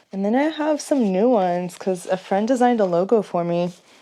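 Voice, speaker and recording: Someone with an American accent talks at a moderate pace with lively intonation, against noticeable background noise. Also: woman. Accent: Texan, slight, slips out. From Texas. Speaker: nightlife vlogger. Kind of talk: casual vlog chat. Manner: chatty, rambling casual.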